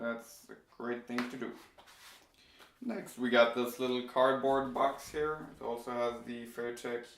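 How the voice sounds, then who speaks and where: With audible room echo, a man speaks at a fairly slow pace in a monotone, flat intonation, leaving long, frequent pauses. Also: medium pitch for a man. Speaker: tech YouTuber. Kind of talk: unboxing video. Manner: casual, with hesitations.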